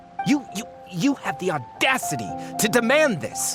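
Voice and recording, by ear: Over faint background music, a put-on character voice with a fairly bright tone swings very widely in pitch at a moderate pace. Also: man, high pitch for a man.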